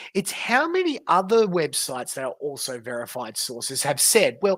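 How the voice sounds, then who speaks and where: The speaker talks in an Australian accent at a fairly slow pace. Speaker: livestreamer. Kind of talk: livestream commentary. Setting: livestream, off camera. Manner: casual, halting.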